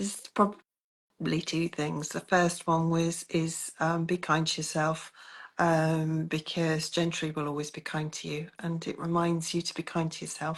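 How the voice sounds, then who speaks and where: With a British accent, a woman speaks at a moderate pace in a fairly low pitch and a monotone, flat intonation, with a quiet background behind her. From Britain. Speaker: coaching client. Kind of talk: interview.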